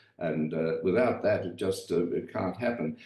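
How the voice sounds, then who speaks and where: A man is speaking. Background noise is noticeable. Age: old. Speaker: retired English professor and author. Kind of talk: podcast interview. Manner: halting, many fillers.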